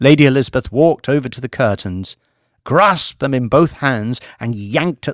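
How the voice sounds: The background stays quiet as a natural reading voice goes on.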